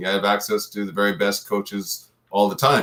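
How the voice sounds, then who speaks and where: A man speaks at a moderate pace in a fairly low pitch. It is an ordinary speaking voice. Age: 50s. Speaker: retired pro football player and personal trainer. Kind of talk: interview.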